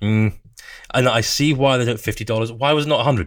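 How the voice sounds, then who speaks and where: With a British accent, a man speaks at a fairly quick pace, medium in pitch, with ordinary pitch variation. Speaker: mobile tech podcast co-host. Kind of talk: casual chat. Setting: remote call from abroad.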